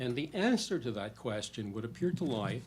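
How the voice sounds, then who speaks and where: A somewhat breathy male voice with ordinary pitch variation and audible room echo. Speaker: policy researcher. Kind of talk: conference presentation. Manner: fast.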